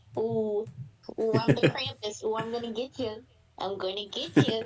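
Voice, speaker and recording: A put-on character voice that sounds female, pitched fairly high. It moves at a moderate pace. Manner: playful, teasing.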